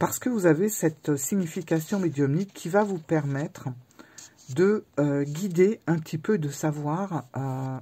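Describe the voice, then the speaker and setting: A very slow, somewhat breathy delivery with a dark, mellow tone and ordinary pitch variation. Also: woman. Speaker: tarot and oracle youtuber. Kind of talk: book review. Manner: halting.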